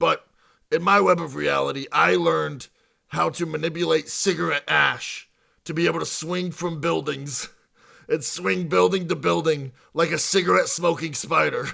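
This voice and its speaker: A man speaks in a put-on character voice. It is raspy and fairly high-pitched. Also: moderate pace. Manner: theatrical.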